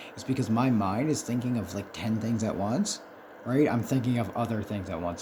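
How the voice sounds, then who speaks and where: A man's medium-pitched voice at a very fast pace, with ordinary pitch variation over noticeable background noise. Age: 30s. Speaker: content creator with ADHD. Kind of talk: casual video monologue. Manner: halting, many filler words.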